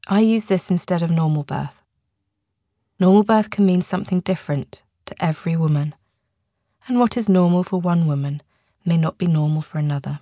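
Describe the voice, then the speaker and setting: A woman's dark, mellow, warm, gentle voice, somewhat breathy, with long, frequent pauses and a dry, close sound with no echo. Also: fairly low pitch for a woman, ordinary pitch variation, fairly quick pace. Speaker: audiobook author-narrator, hypnotherapist and doula. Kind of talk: audiobook reading, scripted non-fiction narration. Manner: calm, soothing, measured and reassuring; warm, clear and steady, with gentle, even pacing.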